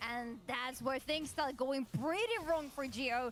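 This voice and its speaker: A woman speaks with a non-native accent. Her pitch is high, with ordinary variation. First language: not English. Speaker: esports commentator. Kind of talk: live commentary.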